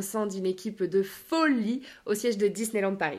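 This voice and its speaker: A woman speaks at a moderate pace and medium pitch. Her pitch varies in an ordinary way. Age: 20s. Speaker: life coach and podcaster. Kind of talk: solo podcast monologue.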